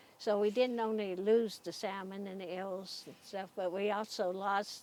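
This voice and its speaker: This woman has an ordinary speaking voice and an American accent. Her pitch is medium and her pace fairly slow. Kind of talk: interview answer.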